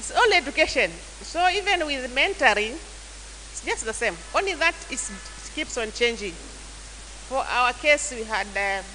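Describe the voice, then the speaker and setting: Amid noticeable background noise and audible room echo, a woman speaks at a fairly slow pace with hardly any pauses. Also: big swings in loudness. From Kenya, Taita. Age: 60s. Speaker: church elder and youth mentor. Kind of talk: mentorship talk to church youth. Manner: halting.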